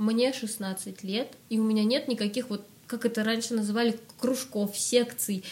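A woman talks at a fairly slow pace with fairly high pitch. She has an unremarkable speaking voice. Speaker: singer and music school founder, vocal coach. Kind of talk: casual interview chat.

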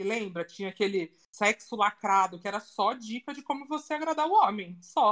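A woman with an ordinary speaking voice talks at a moderate pace with hardly any pauses. Her fairly high pitch carries lively intonation. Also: big swings in loudness. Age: 30s. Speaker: content creator, designer. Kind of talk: casual chat.

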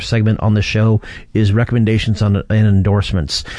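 Talking at a fairly quick pace, a man with an American accent has a medium pitch and a dark, mellow tone. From US Midwest, southeastern Michigan. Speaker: podcast host. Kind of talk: casual chat. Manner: rambling, filler-heavy.

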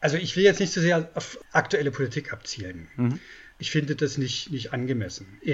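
A man's fairly high voice with vocal fry and lively intonation, at a moderate pace. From East Germany. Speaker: journalist and book author. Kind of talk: interview.

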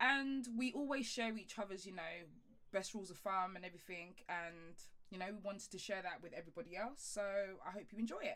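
The tone is fairly bright, with ordinary pitch variation. The pace runs fairly quick. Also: woman, medium pitch for a woman.

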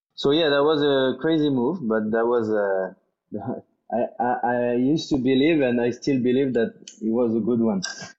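Speaking with a French accent, a man keeps his loudness very even while his pitch varies in an ordinary way. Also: medium pitch for a man, moderate pace. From France. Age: 20s. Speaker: executive chef. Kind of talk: interview.

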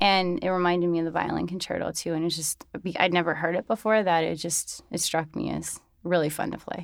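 A woman with an American accent, fairly low-pitched, talking very fast with hardly any pauses and fairly even intonation, on a very clean recording with a silent background. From New York City. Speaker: violinist. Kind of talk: interview.

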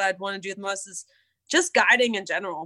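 This woman speaks with an American accent. Her tone is bright and sharp. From southwestern Pennsylvania. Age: 30s. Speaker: retired river guide. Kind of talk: casual interview. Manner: laughs often.

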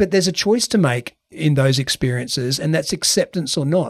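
Using a normal speaking voice, a man talks at a moderate pace with lively intonation in a dry, close sound with no echo. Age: 40s. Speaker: podcast host. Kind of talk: interview.

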